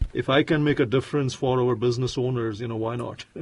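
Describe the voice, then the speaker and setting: Noticeable background noise sits under this recording. A man talks at a fairly quick pace and a medium pitch, with ordinary pitch variation. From India. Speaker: entrepreneur. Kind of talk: interview.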